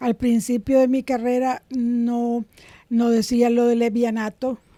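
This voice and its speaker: Very slowly, a woman speaks in a high pitch with a dark, mellow tone. Her intonation is flat and monotone. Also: dry, close sound with no echo. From Nicaragua, Managua. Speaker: comedian. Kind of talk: interview conversation.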